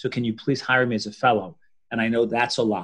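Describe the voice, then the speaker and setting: Over a quiet background, a man speaks at a fairly quick pace with medium pitch and fairly even intonation. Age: 50s. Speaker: orthopaedic spine surgeon; guest. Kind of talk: interview. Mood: confident, advising. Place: home room. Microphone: video call.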